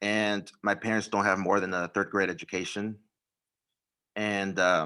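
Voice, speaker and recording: A man with an American accent speaks fairly slowly in a bright, sharp tone with fairly even intonation, recorded very cleanly against a silent background. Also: fairly low pitch for a man. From US, Mexican American. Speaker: teacher. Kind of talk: personal story in panel.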